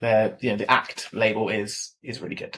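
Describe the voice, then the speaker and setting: A man speaks at a medium pitch with a southern English accent. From southern England. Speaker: equipment industry specialist. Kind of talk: podcast interview. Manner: hesitant, many fillers and repeats.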